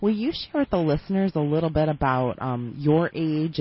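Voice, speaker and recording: The tone is enthusiastic. The pace is fairly quick. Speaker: chiropractor and radio co-host. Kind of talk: radio call-in show. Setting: studio.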